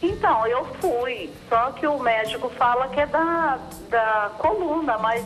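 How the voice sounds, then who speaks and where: A woman speaks at a very slow pace in a high pitch with very wide pitch swings. Audible room echo and music sit in the background. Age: 60s. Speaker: caller. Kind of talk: phone-in question.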